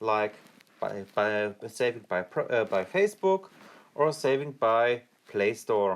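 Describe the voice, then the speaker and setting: With a German accent, a man talks in very wide pitch swings. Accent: German accent, non-native English. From Germany. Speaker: gaming youtuber. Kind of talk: tutorial. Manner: halting, with fillers and restarts.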